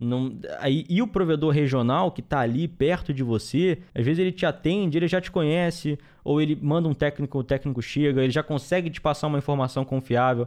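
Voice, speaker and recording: This man talks at a fairly quick pace in a fairly high pitch, using a normal speaking voice with ordinary pitch variation. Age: 20s. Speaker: network engineer and trainer. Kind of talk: interview.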